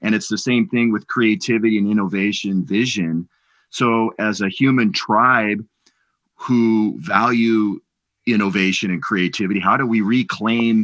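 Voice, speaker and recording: A man with an unremarkable speaking voice talks at a fairly slow pace, his fairly low pitch held in fairly even intonation against a quiet background. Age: 50s. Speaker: podcast host. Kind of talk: interview.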